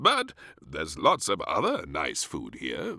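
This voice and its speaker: Using a put-on character voice, a man speaks at a fairly slow pace. The recording is very clean, with a silent background. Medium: read story. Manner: jolly, fond.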